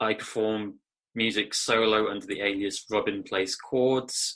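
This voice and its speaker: Against a quiet background, a man with an English Midlands accent speaks in a flat monotone, his fairly low voice bright and sharp in tone. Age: 30s. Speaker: musician and record label owner. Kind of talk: interview. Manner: hesitant, with fillers.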